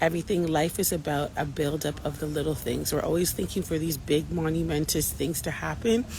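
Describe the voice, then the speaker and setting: Quietly and at a fairly quick pace, a woman speaks in a very deep, low voice with hardly any pauses. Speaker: faith-based abuse recovery vlogger. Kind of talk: casual vlog monologue. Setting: outdoors in Jamaica with people around. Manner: quiet, holding back volume; animated, encouraging.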